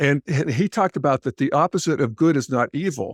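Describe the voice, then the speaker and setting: Recorded very cleanly against a silent background, a man with an unremarkable speaking voice sounds dry and close with no echo. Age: 60s. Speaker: podcaster and integral philosophy commentator. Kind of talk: podcast interview.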